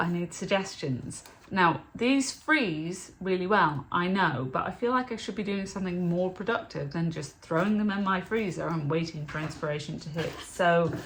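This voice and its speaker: Speaking with a British accent, a woman uses a fairly low pitch at a moderate pace. Audible room echo surrounds her voice. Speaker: budget food vlogger. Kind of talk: casual vlog haul.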